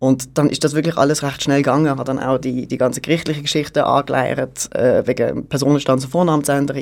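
Speaking very fast, a man keeps a monotone, flat intonation at a fairly high pitch. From Basel-Landschaft, Switzerland. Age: 30s. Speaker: catering manager. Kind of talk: radio interview.

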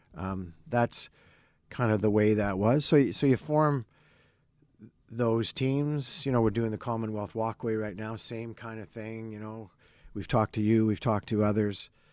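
On a very clean recording with a silent background, a man with a Canadian accent and a normal speaking voice talks at a moderate pace and medium pitch, keeping fairly even intonation amid big swings in loudness. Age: 60s. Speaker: former bank CEO. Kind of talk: interview conversation. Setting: studio.

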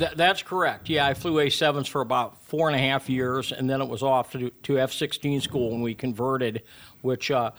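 A man with an Upper Midwest accent speaks at a medium pitch. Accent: Upper Midwest American. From Iowa, Sioux City. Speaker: retired fighter pilot, aviation program director. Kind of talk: radio interview. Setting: radio studio.

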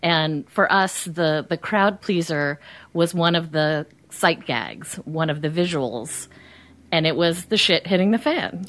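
A woman with an unremarkable speaking voice and an American accent, fairly low in pitch, at a fairly slow pace with ordinary pitch variation and very even loudness, on a very clean recording with a silent background. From New Jersey. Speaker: podcast guest, movie fan. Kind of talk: casual chat. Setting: studio.

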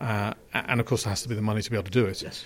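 A man speaks with an English accent and fairly even intonation. The recording is very clean, the background silent. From England. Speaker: car company chief executive. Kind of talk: interview.

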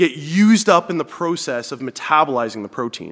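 With a Canadian accent, a man uses an unremarkable speaking voice and lively intonation at a moderate pace. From Northern Ontario, Canada. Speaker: fitness coach and nutrition expert. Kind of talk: casual interview, explaining.

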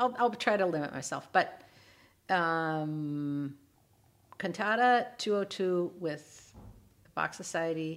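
With an Upper Midwest accent, a woman speaks at a very slow pace. Her pitch is very deep and low. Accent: Upper Midwest American. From rural Minnesota. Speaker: retired voice professor and soprano. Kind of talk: interview.

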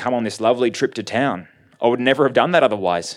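An unforced reading voice moves with ordinary pitch variation.

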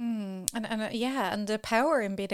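Speaking at a fairly quick pace, a woman talks with an Irish accent. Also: very clean recording, silent background. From Ireland. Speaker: podcast host, sexologist. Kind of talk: casual interview chat.

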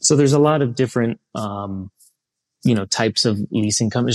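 A man with an American accent, talking at a very fast pace with ordinary pitch variation. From Columbus, Ohio, US Midwest. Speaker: aircraft leasing executive. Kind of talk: interview.

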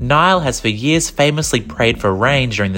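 Over music in the background, a man talks at a fairly quick pace with lively intonation. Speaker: news reader. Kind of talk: news reading. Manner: formal; brisk, even.

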